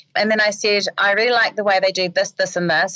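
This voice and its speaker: The recording is dry and close with no echo as a woman speaks at medium pitch. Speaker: marketing business owner. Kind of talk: interview.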